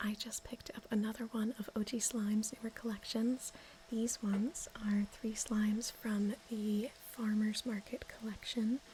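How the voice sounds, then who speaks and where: Over noticeable background noise, a soft-spoken woman with a gentle tone talks in a fairly high, flat monotone. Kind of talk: ASMR slime video, soft-spoken talk to camera. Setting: home recording with a storm outside. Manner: soft-spoken, gentle.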